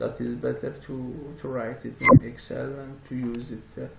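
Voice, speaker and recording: A man with a non-native accent speaks at a moderate pace. The recording carries audible room echo and noticeable background noise. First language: not English. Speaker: software tutorial presenter. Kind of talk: tutorial. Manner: halting, many fillers.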